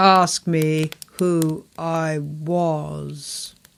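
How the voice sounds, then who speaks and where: A woman uses a put-on character voice. Her pitch is very deep and low. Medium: read story. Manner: grave, solemn, terse.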